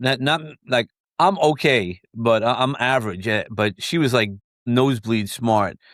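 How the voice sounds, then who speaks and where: A man with a slight New York accent speaks at a moderate pace. The recording is very clean, with a silent background and a dry, close sound free of echo. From New York, Brooklyn. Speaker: mentor and book publisher. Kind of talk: interview conversation. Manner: halting, many fillers and repeats.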